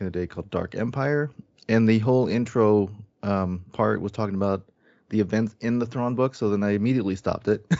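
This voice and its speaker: A man talks at a very fast pace with an American accent. His pitch is fairly low, with ordinary variation. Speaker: podcast panelist. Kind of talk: casual chat. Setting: video call.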